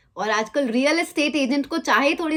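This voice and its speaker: Speaking at a moderate pace, a woman has a plain, everyday voice with ordinary pitch variation. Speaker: life insurance awareness advisor, vlogger. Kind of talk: commentary to camera; phone call.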